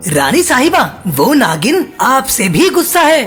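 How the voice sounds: A cartoonish character voice at a very slow pace, faint music in the background.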